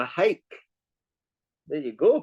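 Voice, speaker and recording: In a Scottish accent, a man speaks at a moderate pace with lively intonation, the sound dry and close with no echo. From Scotland. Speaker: tour guide. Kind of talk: casual interview chat. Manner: halting, repeats words.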